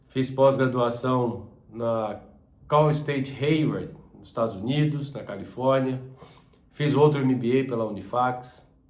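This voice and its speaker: A man talks at a very slow pace with a medium pitch and fairly even intonation. His loudness swings widely, and the room echo is audible. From southern Brazil, Joinville, Santa Catarina. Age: 50s. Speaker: business channel host, former business owner. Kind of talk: personal introduction monologue.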